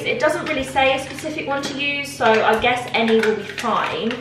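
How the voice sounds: Clear background noise sits behind a woman's voice. Her pitch is fairly high and her intonation lively.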